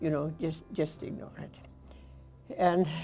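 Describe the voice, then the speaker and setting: Music plays behind a woman speaking. Her pitch is very deep and low. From eastern Hungary. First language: Hungarian. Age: 80s+. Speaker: Holocaust survivor speaker. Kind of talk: lecture. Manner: halting.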